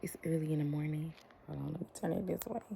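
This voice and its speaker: A quiet, somewhat breathy woman's voice, very deep and low in pitch, at a moderate pace. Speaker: beauty vlogger, licensed esthetician. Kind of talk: casual chat while doing makeup. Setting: at home, toddler sleeping.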